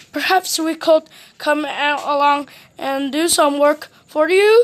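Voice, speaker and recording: A put-on character voice moves at a fairly slow pace with ordinary pitch variation. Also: woman, high pitch for a woman. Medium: read story.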